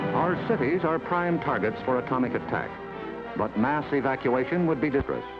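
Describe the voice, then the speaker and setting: Music plays in the background as a man with an American accent talks at a fairly quick pace. His intonation is lively and his loudness very even. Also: fairly high pitch for a man. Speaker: narrator. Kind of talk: government educational film narration. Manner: authoritative, measured.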